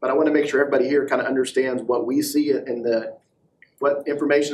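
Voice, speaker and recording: A man with a fairly high pitch talks at a very fast clip. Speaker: law enforcement agency staff presenter. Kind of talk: committee meeting discussion.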